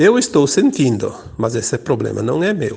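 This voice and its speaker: This is a man speaking. His voice has vocal fry. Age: 60s. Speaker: spiritual teacher. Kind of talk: spiritual talk.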